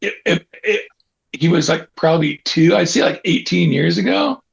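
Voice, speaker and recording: A man speaks with a Californian accent. His voice carries vocal fry. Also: very even loudness. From Northern California, Auburn near Sacramento. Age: 60s. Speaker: skateboarder and baseball fan. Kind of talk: casual chat. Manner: casual, halting with repetitions.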